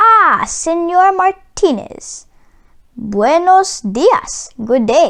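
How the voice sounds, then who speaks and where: Using a put-on character voice, a woman speaks at an extremely high pitch and a very slow pace with very wide pitch swings. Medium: read story. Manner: polite, warm, formal.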